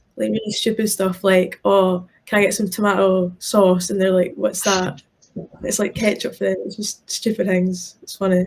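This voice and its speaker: A woman of medium pitch talks at a moderate pace in a somewhat breathy voice with ordinary pitch variation. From Scotland. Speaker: college footballer. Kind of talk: interview. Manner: casual, many fillers.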